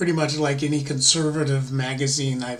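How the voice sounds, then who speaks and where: A man at fairly high pitch and moderate pace, with audible room echo and noticeable background noise. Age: 60s. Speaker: political vlogger. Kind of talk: casual monologue. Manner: halting.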